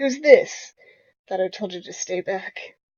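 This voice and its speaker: Putting on a raspy character voice, a woman speaks fairly slowly at a high pitch. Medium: solo performance.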